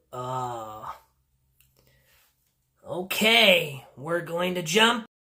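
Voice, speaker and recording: Someone performs in an affected, put-on character voice. The pitch stays in the middle range. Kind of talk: casual reaction commentary. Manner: upbeat, warm.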